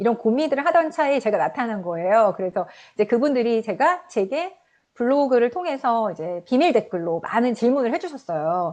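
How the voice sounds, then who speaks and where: Her pitch is fairly high, with very wide swings. The woman talks at a fairly quick pace. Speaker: author. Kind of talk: interview. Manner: halting, many fillers.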